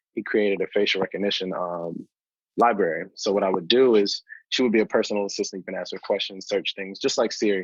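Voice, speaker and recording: Against a quiet background, a man with an American accent talks very fast, the sound dry and close with no echo. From North Carolina (Durham). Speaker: rapper and software engineer. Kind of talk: interview. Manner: casual, with frequent fillers.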